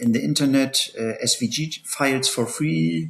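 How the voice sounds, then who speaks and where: The man has a non-native accent. His speech moves at a fairly slow pace. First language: not English. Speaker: 3D printing tutorial maker. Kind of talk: tutorial. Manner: halting, many fillers.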